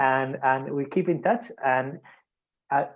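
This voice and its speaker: A man's fairly high voice shows ordinary pitch variation as he talks at a moderate pace. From Spain. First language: Spanish. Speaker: surgeon. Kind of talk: video call. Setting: video call. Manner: halting, many repetitions.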